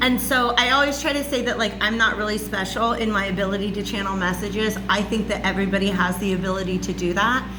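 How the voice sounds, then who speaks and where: A loud woman's voice, medium in pitch with ordinary pitch variation, amid audible room echo and music in the background. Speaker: spiritual reader and channeler. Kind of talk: monologue lecture to camera. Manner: casual, filler-heavy.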